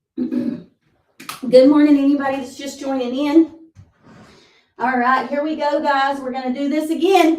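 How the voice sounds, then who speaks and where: At a moderate pace and with fairly even intonation, the speaker pauses long and often, the loudness swinging widely amid audible room echo. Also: woman, high pitch for a woman. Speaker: fitness instructor. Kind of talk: live workout class instruction. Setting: livestream at home. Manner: encouraging, conversational.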